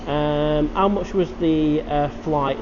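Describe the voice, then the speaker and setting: A man's fairly high voice with a Manchester accent over noticeable background noise. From northern England, Manchester. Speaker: live-stream vlogger. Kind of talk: live stream chat reading comments. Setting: live stream.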